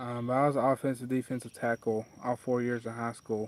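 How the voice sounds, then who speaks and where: A man with an Appalachian accent, dry and close with no echo. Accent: Appalachian Southern US. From southwest Virginia, Wise County. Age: 20s. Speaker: fly tying streamer. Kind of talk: casual livestream chat and tutorial.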